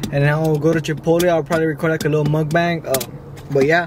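There is noticeable background noise and a dry sound with no echo. A high-pitched man talks at a very fast pace in a monotone, flat intonation. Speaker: vlogger. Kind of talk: casual vlog chat. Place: car. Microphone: phone near.

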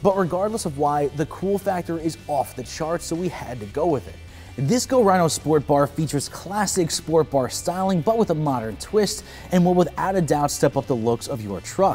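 Faint music sits in the background. Over it, a man speaks at a moderate pace. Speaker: product reviewer. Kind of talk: product review presentation. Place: garage.

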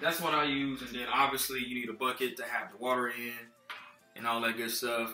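A man with fairly even intonation amid audible room echo and faint music in the background. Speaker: car care vlogger. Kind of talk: casual tutorial. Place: kitchen. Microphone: phone near.

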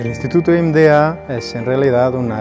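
The pitch moves with ordinary variation. Music plays clearly in the background. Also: man. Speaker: senior materials researcher. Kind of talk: interview answer. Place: hall.

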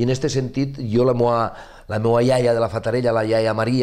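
With a western Catalan accent, a man speaks at a medium pitch and a moderate pace, his intonation fairly even and the background quiet. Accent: Catalan, western (Ebre) dialect. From Ribera d'Ebre, Catalonia (Ascó); Catalonia. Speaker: novelist; interviewee. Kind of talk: interview. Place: studio. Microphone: lapel.

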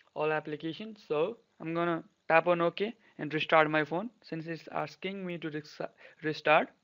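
Speaking at a moderate pace with a non-native accent, a man uses a fairly high pitch and fairly even intonation, in a dry, close sound with no echo. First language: not English. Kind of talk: tech tutorial voiceover. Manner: casual.

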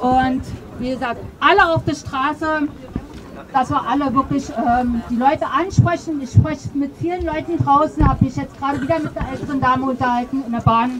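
Over loud background noise, a woman talks at a moderate pace in a high pitch. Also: ordinary pitch variation. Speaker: speaker. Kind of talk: open mic speech; public speech. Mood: earnest, emotional appeal. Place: street.

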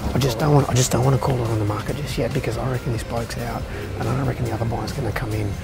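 The speech races along at a very fast pace over loud music in the background. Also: man. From Australia. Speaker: auctioneer. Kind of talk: casual talk to camera, vlog. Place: street.

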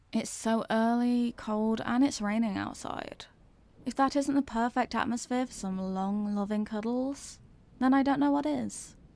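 A soft-spoken woman with a dark, mellow tone and fairly even intonation, at a moderate pace, in dry sound with no echo. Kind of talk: scripted roleplay monologue. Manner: drowsy, soft, sleepy roleplay voice. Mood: soft, cozy, affectionate.

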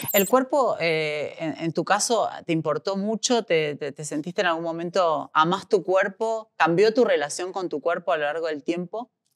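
On a very clean recording with a silent background and a dry, close sound with no echo, a woman talks in a plain, everyday voice at a fairly low pitch, keeping a moderate pace with hardly any pauses. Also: ordinary pitch variation. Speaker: interviewer. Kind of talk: interview.

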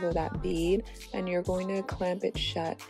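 Over music in the background, a woman talks at a moderate pace with a medium pitch. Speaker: hair tutorial creator. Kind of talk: hair tutorial talk to camera.

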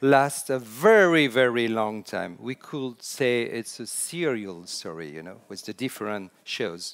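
A man with a French accent speaks at a fairly slow pace with very wide pitch swings against a quiet background. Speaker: storytelling consultant. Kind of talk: conference talk. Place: hall.

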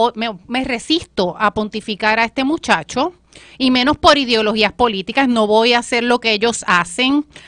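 Dry and close with no echo, a woman's high-pitched voice has a bright, sharp tone and lively intonation at a fairly slow pace. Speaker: political commentator. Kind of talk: political panel discussion.

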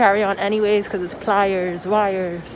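The speaker is a woman. There is noticeable background noise. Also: dry sound with no echo. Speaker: traveler vlogger. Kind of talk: casual vlog chat. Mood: annoyed, venting about baggage fees. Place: station. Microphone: phone near.

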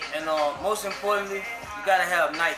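A man speaks over clear music playing in the background. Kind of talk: interview answer. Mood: relaxed, confident. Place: shop.

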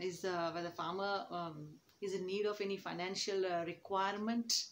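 At a fairly slow pace, a woman talks. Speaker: teacher. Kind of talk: lecture. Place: classroom. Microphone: phone near.

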